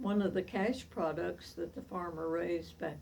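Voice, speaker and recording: A woman speaks at a fairly slow pace with an Appalachian accent. Noticeable background noise and audible room echo surround her voice. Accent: Southern US (Appalachian). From US South, East Tennessee. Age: 80s+. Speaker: centenarian storyteller. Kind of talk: oral history reminiscence. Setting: at home.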